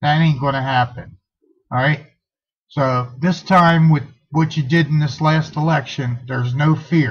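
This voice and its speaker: The man's voice sits fairly high and sounds somewhat breathy. He talks at a fairly slow pace with fairly even intonation. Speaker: political activist vlogger. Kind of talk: impromptu political call to action.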